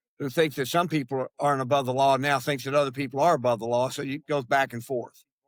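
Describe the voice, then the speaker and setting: A man talks at a very fast pace with hardly any pauses. His fairly high voice keeps a monotone, flat intonation. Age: 70s. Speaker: political commentator and educator. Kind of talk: interview conversation. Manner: halting with many repetitions.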